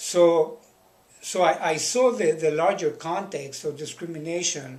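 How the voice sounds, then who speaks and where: Noticeable background noise surrounds a man speaking in an American accent. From Los Angeles. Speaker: history professor. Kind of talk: interview answer.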